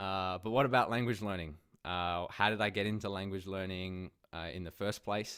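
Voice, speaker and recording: With an Australian accent, the speaker goes at a moderate pace with fairly even intonation. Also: man, very deep, low pitch for a man. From Australia, Melbourne. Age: 20s. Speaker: conference speaker, university student. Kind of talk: online conference talk. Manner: casual, many filler words.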